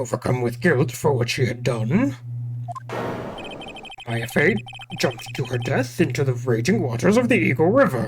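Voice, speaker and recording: This man's voice is a put-on character. It sits at a medium pitch. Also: moderate pace, ordinary pitch variation. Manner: judge voice.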